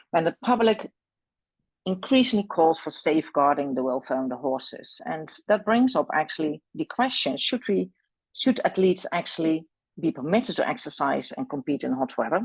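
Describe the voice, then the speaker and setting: Speaking with a Dutch accent at a moderate pace, a woman uses a fairly low pitch with very wide pitch swings. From Netherlands. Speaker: equine veterinary specialist and lecturer. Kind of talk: presentation. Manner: halting, many fillers.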